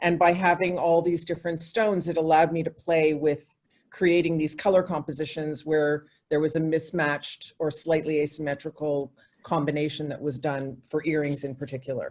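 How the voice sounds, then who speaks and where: At a moderate pace, a woman speaks with a very deep, low pitch and monotone, flat intonation. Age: 60s. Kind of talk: interview.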